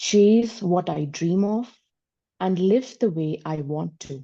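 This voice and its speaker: Over a quiet background, a woman speaks at a medium pitch with a dark, mellow tone and ordinary pitch variation. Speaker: workshop participant. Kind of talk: reading aloud own writing. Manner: slower on second reading.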